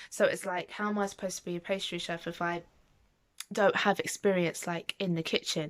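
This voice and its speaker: Her medium-pitched voice runs at a fairly quick pace in a monotone, flat intonation. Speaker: vlogger. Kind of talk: casual vlog talk.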